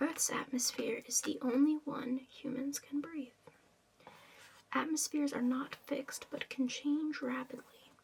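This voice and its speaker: Over noticeable background noise, a woman whispers softly at a fairly slow pace. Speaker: ASMR content creator. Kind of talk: ASMR rambling facts, reading aloud. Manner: whispered, soft-spoken.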